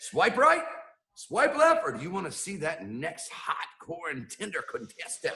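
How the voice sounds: Using a put-on character voice, a man speaks at a fairly slow pace and fairly high pitch, his bright, sharp tone marked by vocal fry and very wide pitch swings.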